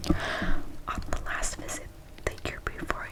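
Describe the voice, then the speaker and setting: A woman whispers. Background noise is noticeable. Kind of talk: audiobook-style reading of a novel. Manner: soft, whispering.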